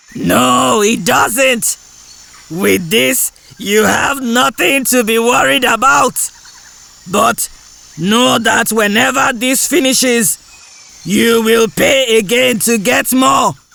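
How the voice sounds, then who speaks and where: Using a put-on character voice with an extremely high pitch, a man speaks at a very slow pace with long, frequent pauses. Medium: read story.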